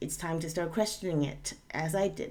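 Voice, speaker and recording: Audible room echo around a woman's voice, fairly low in pitch. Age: 40s. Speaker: YouTube commentator. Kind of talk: casual commentary.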